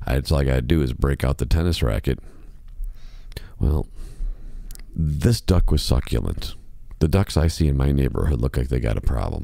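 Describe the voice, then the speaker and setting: Through noticeable background noise, a man with an American accent and a very deep, low pitch speaks at a moderate pace with ordinary pitch variation and long, frequent pauses. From Chicago, US Midwest. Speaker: podcast host, musician. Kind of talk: casual monologue podcast. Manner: softer, lowered volume.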